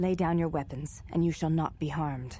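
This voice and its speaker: A put-on character voice at a middle pitch runs at a fairly quick pace over clear background noise. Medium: video game.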